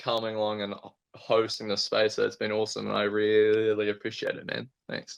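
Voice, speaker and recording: In a New Zealand accent, the speaker talks at a moderate pace with monotone, flat intonation. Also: man, fairly low pitch for a man. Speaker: astrophotographer. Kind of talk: casual chat. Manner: halting, frequent repetitions.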